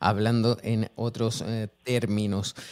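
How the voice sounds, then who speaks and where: A man speaks at a medium pitch. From Chile. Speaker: radio host. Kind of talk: radio show.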